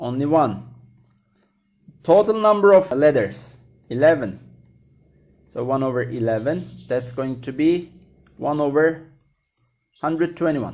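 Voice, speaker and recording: A man with a fairly high pitch and lively intonation speaks at a fairly slow pace, with long, frequent pauses. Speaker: maths teacher. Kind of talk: tutorial.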